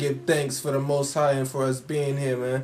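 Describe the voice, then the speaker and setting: A man is speaking. Music plays in the background. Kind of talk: casual talk to camera.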